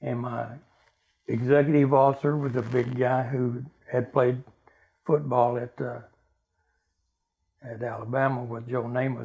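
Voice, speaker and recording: A man with a Texan accent speaks at a medium pitch in a monotone, flat intonation with long, frequent pauses. His tone is dark and mellow, and somewhat breathy. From Texas (Dallas). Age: 80s+. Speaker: military veteran. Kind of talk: oral history interview. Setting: at home.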